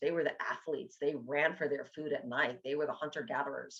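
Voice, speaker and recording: A woman speaks with a New York accent. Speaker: nutrition coach and teacher. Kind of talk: educational talk. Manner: casual, halting with fillers.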